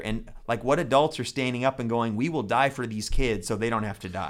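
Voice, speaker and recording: A man with an unremarkable speaking voice at a fairly quick pace. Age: 40s. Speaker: pastor and podcast host. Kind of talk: casual chat. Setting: studio.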